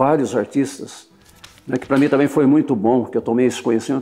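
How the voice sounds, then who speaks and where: Over noticeable background noise, a man talks very fast in a fairly high pitch with fairly even intonation. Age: 60s. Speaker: sculptor. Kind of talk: interview testimony. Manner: halting, with repetitions.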